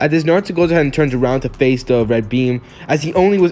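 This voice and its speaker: Over noticeable background noise, a man speaks at a very fast pace. His fairly high voice has lively intonation. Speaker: YouTube fan-fiction storyteller. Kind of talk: improvised story narration. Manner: halting, stumbles over words; casual, filler-heavy.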